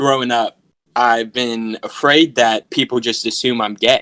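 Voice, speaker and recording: A man speaks at a moderate pace with a bright, sharp tone. The sound is dry and close, with no echo. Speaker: podcast guest. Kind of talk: casual chat. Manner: animated.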